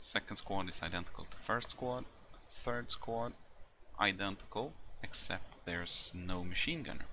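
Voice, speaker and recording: Delivered at a moderate pace with a non-native accent, the voice has a bright, sharp tone and ordinary pitch variation. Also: man, fairly low pitch for a man. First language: not English. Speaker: military history gaming youtuber. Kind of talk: tutorial. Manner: hesitant, many fillers.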